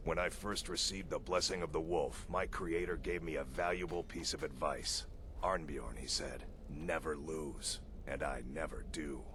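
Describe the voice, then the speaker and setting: Against loud background noise, a man performs a put-on character voice at a moderate pace. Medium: video game. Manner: gruff, sarcastic.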